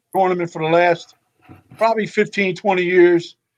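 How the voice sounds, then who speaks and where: The man has a high pitch with ordinary pitch variation and talks at a moderate pace. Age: 60s. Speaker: retired police officer and softball coach. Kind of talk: casual interview.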